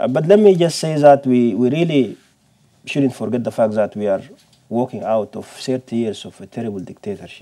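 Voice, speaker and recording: A man with an Arabic accent talks at a fairly quick pace with lively intonation. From Sudan. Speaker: professor. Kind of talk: panel discussion. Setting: seminar with audience. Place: studio.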